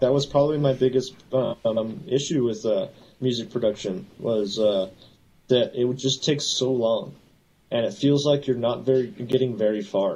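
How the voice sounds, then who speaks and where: A man with a Southern California accent, dark, mellow tone and ordinary pitch variation. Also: medium pitch for a man, moderate pace. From Southern California (LA area). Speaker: FPV drone pilot and electrician. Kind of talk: casual interview chat.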